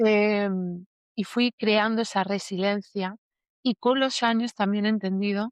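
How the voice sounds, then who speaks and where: A woman speaks with monotone, flat intonation. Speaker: emotional healing teacher. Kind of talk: interview testimony.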